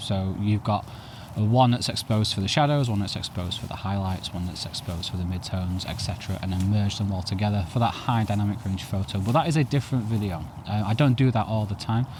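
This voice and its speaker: Very fast male speech with ordinary pitch variation amid noticeable background noise. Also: fairly low pitch for a man. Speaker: photography youtuber. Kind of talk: tutorial. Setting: outdoors.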